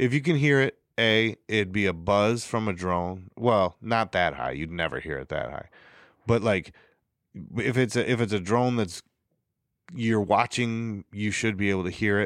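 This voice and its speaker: A man with a fairly low pitch speaks at a moderate pace with lively intonation, the sound dry and close with no echo on a very clean recording with a silent background. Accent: American. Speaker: podcast co-host. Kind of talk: casual chat. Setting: studio.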